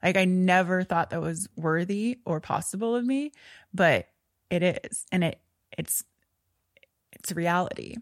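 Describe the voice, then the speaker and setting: A woman speaks at a fairly slow pace with long, frequent pauses and ordinary pitch variation. The sound is dry and close with no echo, on a very clean recording with a silent background. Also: medium pitch for a woman. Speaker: wellness entrepreneur and mental health advocate. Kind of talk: interview, personal testimony.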